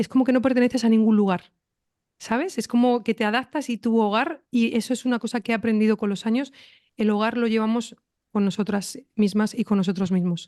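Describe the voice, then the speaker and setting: A woman speaks fairly quickly with a fairly high pitch and ordinary pitch variation. Her tone is dark and mellow against a quiet background. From Spain (Madrid, Pamplona). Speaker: podcast host. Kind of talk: interview.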